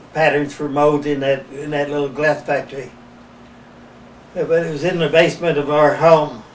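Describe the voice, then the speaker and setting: Amid noticeable background noise, a man speaks at a fairly high pitch and a moderate pace in a monotone, flat intonation with long, frequent pauses. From West Virginia, US. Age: 80s+. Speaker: retired glass mould maker. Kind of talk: oral history interview. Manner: halting, repetitive.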